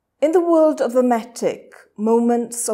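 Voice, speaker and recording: At a fairly slow pace, a woman speaks in a dark, mellow tone against a quiet background. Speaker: poet. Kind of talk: poetry reading. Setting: reading room.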